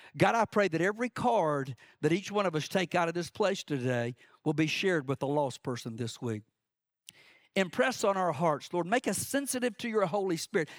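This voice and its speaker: In a very clean recording with a silent background and a dry, close sound with no echo, a man speaks at a high pitch with very wide pitch swings. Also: fairly quick pace. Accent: Southern US. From South Georgia, US. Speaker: preacher. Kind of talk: sermon. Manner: fast talker.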